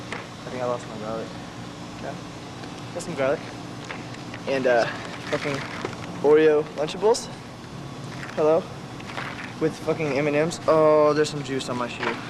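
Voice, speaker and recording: Amid noticeable background noise, a man with a fairly high pitch talks with long, frequent pauses. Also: ordinary pitch variation, moderate pace. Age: 20s. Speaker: dumpster diver. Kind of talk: documentary interview.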